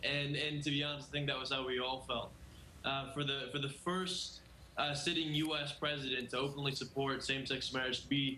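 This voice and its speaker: A man talks at a fairly quick pace with a fairly high pitch. The room echoes audibly, and background noise is noticeable. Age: young. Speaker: activist. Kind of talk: TV news interview.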